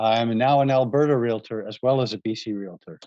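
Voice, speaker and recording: Close and dry with no echo over a quiet background, a man talks at a moderate pace and medium pitch. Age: 60s. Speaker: real estate investor and realtor. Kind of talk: webinar presentation.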